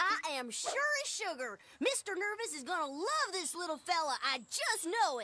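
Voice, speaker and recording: This cartoonish character voice sits at an extremely high pitch and swings very widely up and down. It moves at a moderate pace. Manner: folksy, upbeat.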